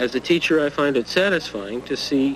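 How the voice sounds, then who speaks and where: Noticeable background noise sits behind a man speaking at a moderate pace. His voice is fairly high, with lively intonation. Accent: Canadian. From Netherlands, raised in Canada from age five. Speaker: history teacher. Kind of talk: documentary interview.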